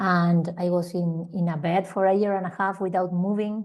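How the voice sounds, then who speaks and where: With an Argentine accent, this dark, mellow voice moves at a moderate pace over a quiet background. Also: woman. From Argentina. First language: Spanish. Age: 40s. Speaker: holistic healing teacher. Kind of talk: interview testimony. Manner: halting, with repetitions.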